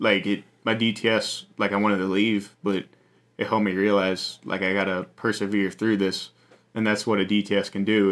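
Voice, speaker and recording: A man with an American accent, fairly low in pitch, at a moderate pace, on a very clean recording with a silent background. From Virginia, Appalachian Mountains. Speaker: missionary staff. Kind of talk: casual interview. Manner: halting, many fillers.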